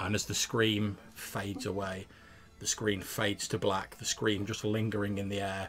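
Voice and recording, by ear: The text is read aloud in a natural voice.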